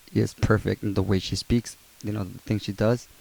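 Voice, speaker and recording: This man has a dark, mellow tone and a fairly low pitch, with a non-native accent. His intonation stays fairly even. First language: not English. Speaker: YouTuber, abuse survivor. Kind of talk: casual vlog monologue. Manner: halting, many fillers.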